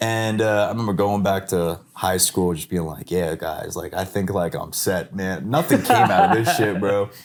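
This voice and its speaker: A man with an American accent speaks at a moderate pace, hardly pausing, in a fairly low voice with ordinary pitch variation. Noticeable background noise runs underneath. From New York, Long Island. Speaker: digital artist. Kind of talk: casual chat. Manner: animated.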